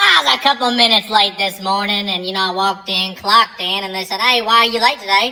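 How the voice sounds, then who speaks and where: Using a put-on character voice at medium pitch, a woman races along at a very fast pace with hardly any pauses. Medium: comedy sketch. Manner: sarcastic, wisecracking.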